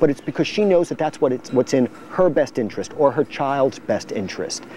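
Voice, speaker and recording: A man's voice sits fairly high in pitch. Behind it is noticeable background noise. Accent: American. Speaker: prosecutor running for district attorney. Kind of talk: campaign interview answer.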